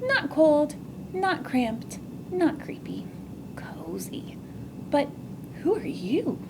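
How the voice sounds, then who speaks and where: Over loud background noise, a woman whispers in a put-on character voice at a very slow pace, leaving long, frequent pauses. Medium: read story.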